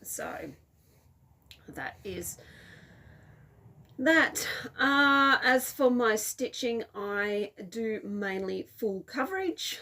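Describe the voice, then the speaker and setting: Speaking at a very slow pace with long, frequent pauses, a woman uses a fairly high pitch, a bright, sharp tone, lively intonation and big swings in loudness. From Australia. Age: 40s. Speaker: cross-stitch video blogger. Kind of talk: casual hobby vlog. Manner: casual, with frequent fillers (um, uh).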